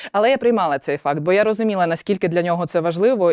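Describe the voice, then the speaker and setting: A woman speaks at a medium pitch. The recording is very clean, with a silent background and a dry, close sound with no echo. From Ukraine, Zaporizhzhia. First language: Russian (speaking Ukrainian). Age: 30s. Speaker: soldier and volunteer, war widow. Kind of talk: interview.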